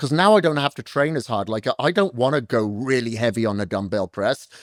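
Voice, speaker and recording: A man with a normal speaking voice, medium pitch and lively intonation, on a very clean, dry, close recording with a silent background and no echo. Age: 50s. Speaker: fitness coach. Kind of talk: podcast interview.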